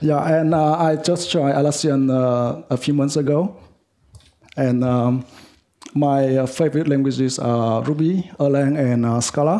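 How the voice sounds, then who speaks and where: The pace is fairly slow. Intonation stays fairly even. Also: man, fairly high pitch for a man. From Vietnam. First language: Vietnamese. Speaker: software developer. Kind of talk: lightning talk. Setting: meetup with audience. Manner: halting, many fillers.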